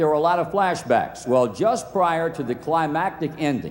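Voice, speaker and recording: With an American accent, a man speaks at a moderate pace with ordinary pitch variation amid noticeable background noise. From Virginia, US. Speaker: sportscaster. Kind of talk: award acceptance speech. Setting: outdoor ceremony PA system.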